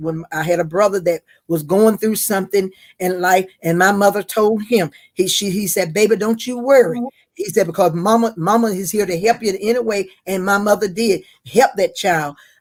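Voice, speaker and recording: Speaking with a North Carolina accent, a woman keeps a moderate pace, a medium pitch and fairly even intonation. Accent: Southern US (North Carolina). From US South. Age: 70s. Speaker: interviewee, mother of the host. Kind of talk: casual interview. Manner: halting, many repetitions.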